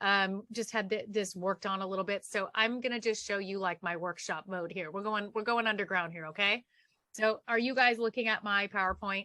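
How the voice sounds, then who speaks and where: Speaking at a fairly quick pace with an American accent, a woman at medium pitch has a bright, sharp tone, recorded dry and close with no echo against a quiet background. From Southern California. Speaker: media coach and speaker. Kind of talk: workshop presentation. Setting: video call. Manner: fast; animated.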